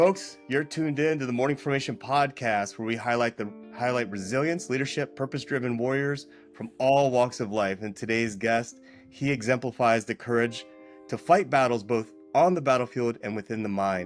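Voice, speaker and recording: With music in the background, a man at a medium pitch speaks with lively intonation. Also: moderate pace. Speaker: podcast host. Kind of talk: podcast intro.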